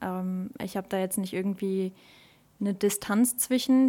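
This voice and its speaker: Recorded very cleanly against a silent background, a woman speaks at medium pitch and a moderate pace. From Germany, Westerwald region. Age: 20s. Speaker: table tennis club social media manager. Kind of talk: casual chat; promotional announcement.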